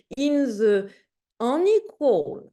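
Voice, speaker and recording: A woman talks in a French accent. Her pitch swings very widely. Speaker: academic discussant. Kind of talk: panel discussion. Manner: halting, with self-corrections.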